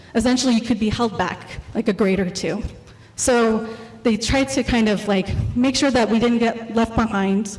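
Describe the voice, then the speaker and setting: With an American accent, the voice keeps fairly even intonation and very even loudness over noticeable background noise. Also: woman, fairly high pitch for a woman. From California, US (Filipino parents). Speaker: artist and exhibition co-curator. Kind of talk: artist talk presentation. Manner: fast when nervous; hesitant, many fillers.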